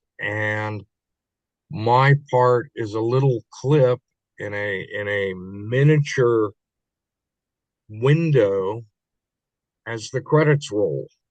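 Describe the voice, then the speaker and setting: A man with a Midwestern US accent at medium pitch, very slow in pace with long, frequent pauses, ordinary pitch variation, and a dry, close sound with no echo. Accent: US Midwest. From Kansas City, Missouri. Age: 60s. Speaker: actor. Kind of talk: interview. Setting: podcast. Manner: halting.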